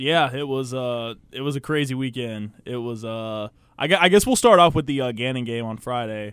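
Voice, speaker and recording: In an American accent, a man with an unremarkable speaking voice and medium pitch talks at a moderate pace with ordinary pitch variation and big swings in loudness, on a very clean recording with a silent background. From Virginia. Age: 20s. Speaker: basketball commentator. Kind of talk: casual sports talk. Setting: radio studio.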